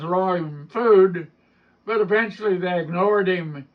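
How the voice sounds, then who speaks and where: A man's high voice in an Appalachian accent, at a fairly slow pace with ordinary pitch variation. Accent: Appalachian mountain. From Appalachian mountains, US South. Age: 80s+. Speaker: storyteller and author. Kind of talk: storytelling interview at literary festival.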